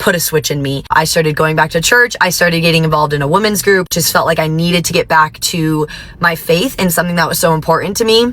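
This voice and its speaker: A woman with an American accent talks at a very fast pace with hardly any pauses, at a fairly low pitch with ordinary pitch variation. There is noticeable background noise. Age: 20s. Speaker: teacher. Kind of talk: testimony. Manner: casual, conversational.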